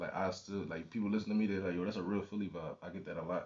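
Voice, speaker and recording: A man's very deep, low voice, flat and monotone, at a very fast pace. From Philadelphia, northeast. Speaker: rapper. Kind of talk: interview. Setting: radio studio. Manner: casual, halting with many fillers.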